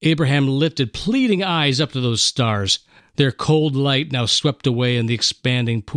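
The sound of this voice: Here is an unforced reading voice. The pitch varies in an ordinary way.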